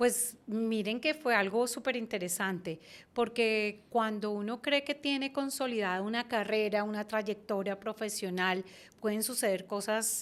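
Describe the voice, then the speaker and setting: Speaking in a Bogotá accent, a woman with a fairly high pitch keeps a fairly slow pace and fairly even intonation, captured in a very clean recording with a silent background. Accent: Bogotá Colombian Spanish. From Colombia, Bogotá. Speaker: branding and communication consultant. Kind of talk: interview.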